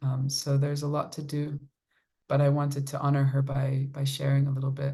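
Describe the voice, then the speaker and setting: A woman speaks at a very deep, low pitch in a dark, mellow, somewhat breathy tone. Her intonation is monotone and flat, her pace fairly quick, with audible room echo. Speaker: kirtan singer and violinist. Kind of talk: casual talk with supporters, answering questions. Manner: warm, conversational with fillers.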